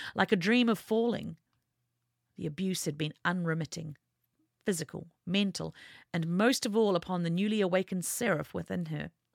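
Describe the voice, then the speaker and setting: A woman speaks at a moderate pace in an ordinary speaking voice, fairly low in pitch with ordinary pitch variation. The sound is dry and close with no echo, on a very clean recording with a silent background. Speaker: audiobook narrator reading own fiction. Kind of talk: dramatic audiobook narration of a fantasy novel, read aloud.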